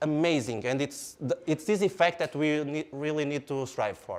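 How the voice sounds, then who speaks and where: A man's fairly high-pitched voice with a Portuguese accent, moderate in pace with hardly any pauses, on a very clean recording with a silent background. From Portugal, Porto. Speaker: engineer and product speaker. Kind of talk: lecture. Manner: animated.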